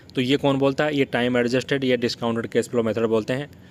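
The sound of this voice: Talking at a fast pace, a man keeps a medium pitch and fairly even intonation.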